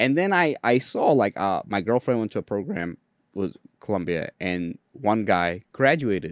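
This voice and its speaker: Captured in a very clean recording with a silent background and a dry, close sound with no echo, a man speaks at a fairly low pitch and a fairly slow pace, making very wide pitch swings. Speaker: podcast host and entrepreneur. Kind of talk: casual interview conversation.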